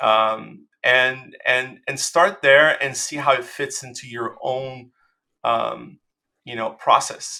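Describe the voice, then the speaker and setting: A man speaks very slowly. He has a Portuguese accent. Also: big swings in loudness. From Brazil. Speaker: designer. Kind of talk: interview. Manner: halting, many fillers and repetitions.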